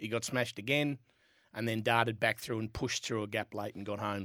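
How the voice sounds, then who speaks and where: In a very clean recording with a silent background, a man with an Australian accent talks with fairly even intonation. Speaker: jockey. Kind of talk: radio sports panel chat.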